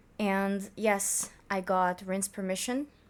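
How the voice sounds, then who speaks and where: This woman speaks with a non-native accent. Her pitch sits in the medium range. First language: not English. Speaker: youtuber reacting to fanfiction. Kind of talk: casual reaction commentary; reading aloud with commentary. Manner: stuttering.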